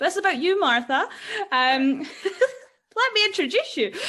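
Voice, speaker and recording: A woman with a Scottish accent speaks with very wide swings in pitch. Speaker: podcast host. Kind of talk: casual interview chat.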